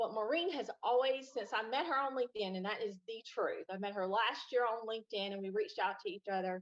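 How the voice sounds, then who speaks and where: A woman with a Southern US accent, fairly high in pitch with ordinary pitch variation, at a fairly quick pace with hardly any pauses. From US South, Kings Mountain, North Carolina. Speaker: guest. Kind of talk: casual chat.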